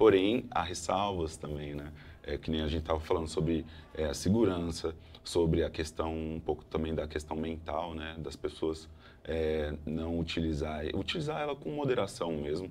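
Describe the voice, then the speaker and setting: Keeping a moderate pace, a man talks in a very deep, low pitch with fairly even intonation. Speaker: artificial intelligence specialist. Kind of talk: interview.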